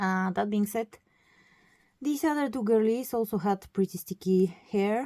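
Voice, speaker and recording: A woman speaks at a medium pitch in a dark, mellow tone. Her pitch varies in an ordinary way, and the sound is dry and close with no echo. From Bulgaria. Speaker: doll collector vlogger. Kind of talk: casual vlog. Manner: halting, many fillers.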